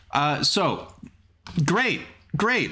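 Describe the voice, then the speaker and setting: Heard with audible room echo, a man speaks in a fairly high, bright, sharp voice with vocal fry. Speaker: game show host. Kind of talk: casual chat.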